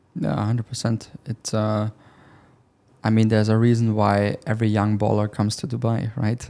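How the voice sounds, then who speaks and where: Monotone and flat, a man with a German accent speaks at a moderate pace with a fairly low pitch and a dark, mellow tone. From Germany. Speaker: sales closer. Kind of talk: casual interview. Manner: halting.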